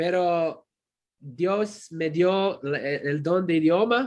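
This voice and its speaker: A man talks at a very slow pace. His voice is high, with ordinary pitch variation. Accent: non-native. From Croatia. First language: Croatian (speaking Spanish). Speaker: pastor and theology professor. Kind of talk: sermon. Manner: halting.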